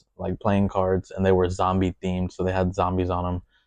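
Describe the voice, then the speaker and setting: A man with a fairly low pitch and a dark, mellow tone speaks at a fairly quick pace. The sound is dry and close with no echo, against a quiet background. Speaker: podcast host. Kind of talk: storytelling. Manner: casual, rambling.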